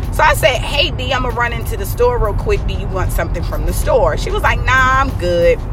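A woman talks in an animated tone at a fairly quick pace with hardly any pauses, amid noticeable background noise and audible room echo. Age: 30s. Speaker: podcaster. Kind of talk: personal storytelling monologue. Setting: in a car.

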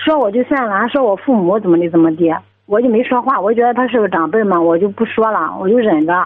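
This woman talks at a medium pitch, and her intonation shows ordinary pitch variation. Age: 20s. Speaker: caller with family problem. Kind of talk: radio call-in advice. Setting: phone call. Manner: halting. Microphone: crackly phone line.

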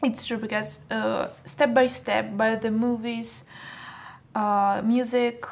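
The speech comes at a very slow pace. It carries a Russian accent. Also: woman. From Russia (Saint Petersburg), born in Moldova. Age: 20s. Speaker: fashion model. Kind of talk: casual interview.

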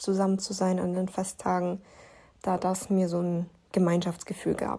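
At a moderate pace, a woman speaks at medium pitch in a dark, mellow, somewhat breathy tone, on a very clean recording with a silent background. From Lower Bavaria, Germany. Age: 20s. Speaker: podcaster, university student. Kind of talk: personal monologue, testimony. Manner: halting, many filler sounds.

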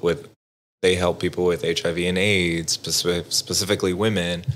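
A man with a Texas accent speaks at a very deep, low pitch in a monotone, flat way. The recording is very clean, the background silent. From Southwest Texas. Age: 20s. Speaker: veteran and nonprofit board member. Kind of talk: casual interview, personal story.

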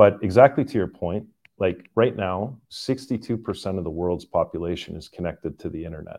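A man with a Canadian accent talks at a fairly quick pace. His fairly low pitch carries a dark, mellow tone. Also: lively intonation. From Canada. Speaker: tech company CEO and labor economist. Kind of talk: interview. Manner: hesitant with many fillers.

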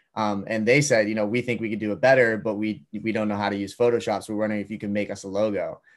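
A man with an American accent, fairly low-pitched and monotone, flat in intonation, at a very fast pace with hardly any pauses, on a very clean recording with a silent background. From Massachusetts, near Boston. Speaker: college student and clothing startup founder. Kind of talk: casual interview.

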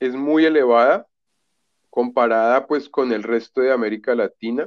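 A man talks at a fairly slow pace with ordinary pitch variation in a plain, everyday voice. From Colombia (Bogotá). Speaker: literature graduate. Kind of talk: casual chat.

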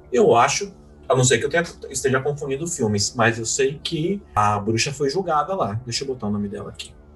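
A man with an unremarkable speaking voice, medium pitch, lively intonation and a fairly quick pace. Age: 30s. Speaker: podcast host. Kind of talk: casual chat.

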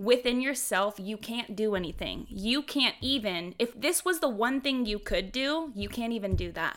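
A woman with an American accent and an unremarkable speaking voice talks at a moderate pace, fairly high in pitch, with lively intonation. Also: hardly any pauses. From Houston, Texas. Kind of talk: casual chat.

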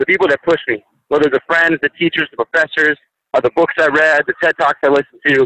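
Dry and close with no echo, this recording captures a man with an American accent speaking very fast at a fairly high pitch in a bright, sharp tone. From western Pennsylvania, rural outside Pittsburgh. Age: 20s. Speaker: college student, podcast host. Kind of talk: interview. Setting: outdoors, on a hike.

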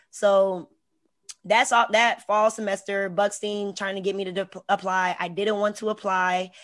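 A woman with an American accent speaks at a medium pitch and a fairly slow pace. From Hampton, Virginia. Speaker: artist and university administrator. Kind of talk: casual interview. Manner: animated.

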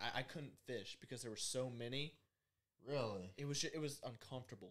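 In a Southern US accent, the speaker moves at a fairly quick pace with fairly even intonation. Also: man. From US South. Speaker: podcast producer. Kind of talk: casual chat.

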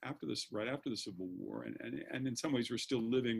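Talking at a fairly quick pace, a man with an American accent uses lively intonation and vocal fry at a medium pitch. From US Mid-Atlantic, Maryland suburbs of Washington D.C. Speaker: law professor. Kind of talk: casual interview.

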